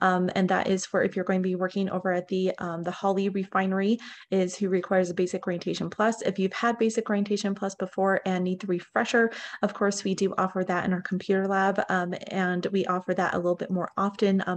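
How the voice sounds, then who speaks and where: A woman talks at a very fast pace in a monotone, flat intonation. Light background noise can be heard. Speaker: refinery and mining training manager. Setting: working from home, video call. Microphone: video call.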